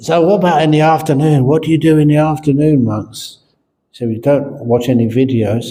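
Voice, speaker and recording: A man with a fairly high pitch speaks in a somewhat breathy voice, his tone dark and mellow and his pitch varying in an ordinary way. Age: 70s. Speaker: Buddhist monk and teacher. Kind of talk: dharma talk with jokes. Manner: casual storytelling.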